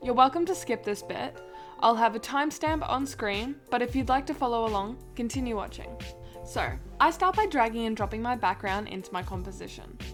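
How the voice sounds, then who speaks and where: A woman with an Australian accent talks at a fairly quick pace. Music plays in the background. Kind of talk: software tutorial voice-over.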